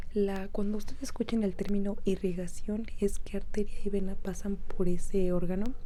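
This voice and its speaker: This woman is soft-spoken and talks at a fairly slow pace. Her intonation is monotone and flat. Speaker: medical student. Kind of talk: soft-spoken ASMR talk to camera.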